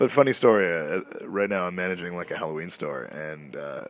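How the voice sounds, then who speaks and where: A man talks with a Canadian accent at a fairly quick pace. His pitch is very deep and low, with ordinary variation. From Canada, Toronto. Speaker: podcast host. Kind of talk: casual solo monologue. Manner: casual, with fillers.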